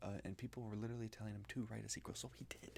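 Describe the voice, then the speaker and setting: A soft-spoken man, whispering. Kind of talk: casual talk to camera, book review. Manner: soft-spoken, whispered.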